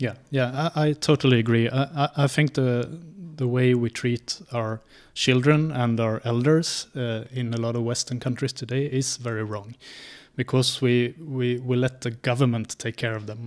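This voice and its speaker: A medium-pitched man with a Swedish accent, at a moderate pace and with fairly even intonation, in a very clean recording with a silent background. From rural Sweden. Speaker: scientist and traveling libertarian. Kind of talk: interview.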